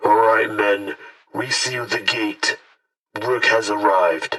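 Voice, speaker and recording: A man speaks in a put-on character voice that is raspy. His pace is fairly slow. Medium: audio drama. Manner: brisk, official.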